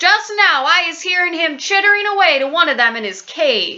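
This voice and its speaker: An extremely high pitch marks the put-on character voice. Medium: read story. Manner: eager, ungrammatical giant-speak.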